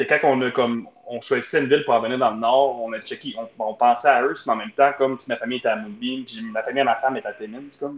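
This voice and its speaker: At a very fast pace, a man with a medium pitch talks with hardly any pauses. His loudness swings a lot while his intonation stays fairly even. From Ontario. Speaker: community economic development officer. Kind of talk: casual chat.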